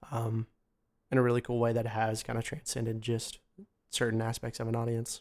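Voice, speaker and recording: The words come out mumbled at a fairly quick pace, broken by long, frequent pauses, with a monotone, flat intonation. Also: man, medium pitch for a man. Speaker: jazz and hip hop musician. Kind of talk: casual interview. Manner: mumbling.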